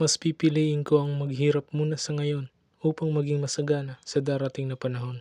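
This man talks at a fairly quick pace in a fairly high pitch, his intonation monotone and flat. His tone is dark and mellow, and the sound is dry and close with no echo. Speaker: student performing a poem. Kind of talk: spoken word poetry performance.

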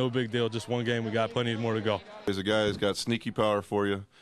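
A man's medium-pitched voice with noticeable background noise. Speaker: baseball team manager. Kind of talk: post-game interview, casual talk. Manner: conversational, halting with filler words.

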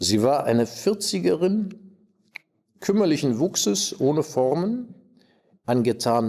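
The voice has a dark, mellow tone, very wide pitch swings and a very slow pace. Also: man. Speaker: actor. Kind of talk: reading aloud. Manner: formal. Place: stage.

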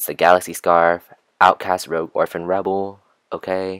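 At a moderate pace, a man speaks in a very deep, low pitch with monotone, flat intonation, the sound dry with no echo and the background quiet. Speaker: book vlogger. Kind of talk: comedic voiceover narration. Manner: joking, mocking. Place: home room. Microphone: phone near.

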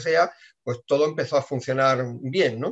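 A man talks with a fairly high pitch and ordinary pitch variation. The background is quiet. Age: 50s. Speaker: team member giving testimony. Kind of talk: testimony. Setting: video call. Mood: calm, personal. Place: office. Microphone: webcam.

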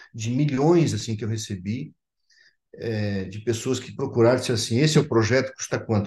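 A man speaks at a medium pitch, somewhat breathy. He keeps a moderate pace with ordinary pitch variation. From Santa Catarina highlands, Brazil, German colony. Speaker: pastor. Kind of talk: testimony; interview answer. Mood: earnest, reflective. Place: home room. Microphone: video call.

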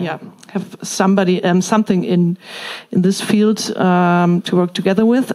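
A woman speaks with a German accent in a dark, mellow tone. Her intonation is monotone and flat against a quiet background. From Germany. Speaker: member of parliament. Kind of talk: audience question. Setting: stage with audience. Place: hall.

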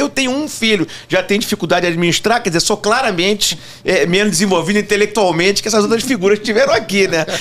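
A man's high-pitched voice at a very fast pace. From Rio de Janeiro, Brazil. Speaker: tax lawyer. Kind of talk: casual interview. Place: studio. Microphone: studio mic.

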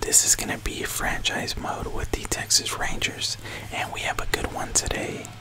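Whispering, a man keeps to a moderate pace. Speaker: video game streamer / YouTuber. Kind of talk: casual YouTube intro to camera. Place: home room. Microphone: studio mic.

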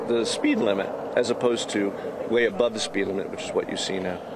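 Loud background noise fills the recording. A man speaks in a dry sound with no echo. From Boston. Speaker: city planner. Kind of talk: street interview. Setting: outdoors. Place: street. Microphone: lapel.

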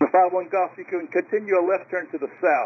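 Fast pace, ordinary pitch variation and a slightly husky edge. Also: man, high pitch for a man.

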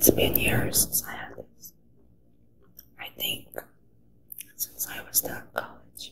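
Whispering and soft-spoken, a woman talks at a very slow pace with big swings in loudness over light background noise. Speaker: ASMR creator. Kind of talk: soft ASMR chat. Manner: soft close ASMR whisper. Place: home room.

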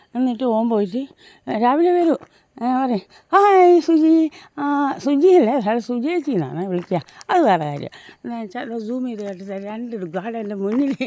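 A woman's dark, mellow voice at a fairly high pitch, with very wide pitch swings. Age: 50s. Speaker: vlogger. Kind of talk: walking vlog. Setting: outdoors.

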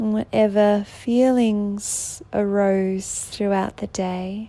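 A woman speaks at a very slow pace with a medium pitch. Her intonation is monotone and flat. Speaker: meditation guide. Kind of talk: sleep meditation. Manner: soft-spoken, slow.

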